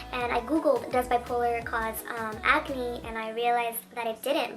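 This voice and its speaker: Noticeable background noise accompanies a woman's voice. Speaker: beauty vlogger. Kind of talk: casual vlog talk to camera. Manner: fast.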